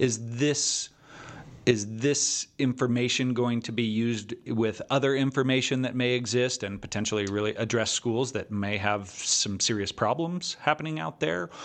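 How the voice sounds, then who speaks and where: A man with an ordinary speaking voice, a moderate pace, and ordinary pitch variation, set against a quiet background. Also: medium pitch for a man. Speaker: podcast host and teachers' association representative. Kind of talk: interview.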